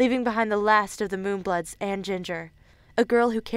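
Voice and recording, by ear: Reading aloud in a natural voice with fairly even intonation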